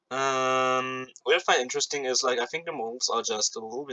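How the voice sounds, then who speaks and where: With a non-native accent, a man talks at a very fast pace. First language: not English. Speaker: gaming YouTuber. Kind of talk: gameplay commentary. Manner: halting, many fillers and repetitions; casual.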